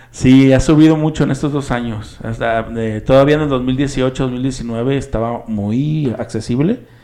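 An unremarkable speaking voice at a fairly slow pace, with fairly even intonation and hardly any pauses. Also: man, medium pitch for a man. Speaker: podcast co-host. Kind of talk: casual chat.

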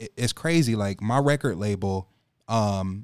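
Fairly low in pitch, a man speaks at a fairly slow pace. The recording is very clean, the background silent. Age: 20s. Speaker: rapper. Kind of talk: casual chat. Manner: animated.

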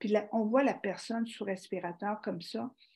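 A woman's fairly high, somewhat breathy voice in a dark, mellow tone, with fairly even intonation at a moderate pace. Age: 60s. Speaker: organ donation advocate and teacher. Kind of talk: interview.

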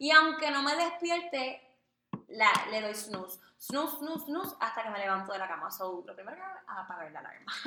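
A woman speaks fairly quickly in a raised, projected voice, high-pitched with very wide pitch swings. Audible echo from the room surrounds her. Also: big swings in loudness. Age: 20s. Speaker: podcast co-host, communications graduate. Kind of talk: casual chat.

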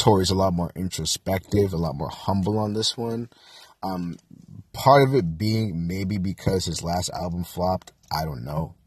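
His pitch is very deep and low. The man speaks at a moderate pace and sounds somewhat breathy. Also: ordinary pitch variation. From Jamaican-American household, US. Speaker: podcast host. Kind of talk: casual monologue and album review. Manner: casual, many fillers.

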